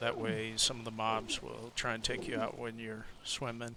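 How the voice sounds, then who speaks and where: This soft-spoken man talks at a medium pitch. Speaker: gaming video creator and server admin. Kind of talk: gameplay tutorial. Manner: hesitant, with fillers.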